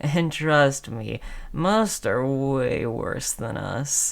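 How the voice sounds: A put-on character voice with vocal fry, lively intonation and a very slow pace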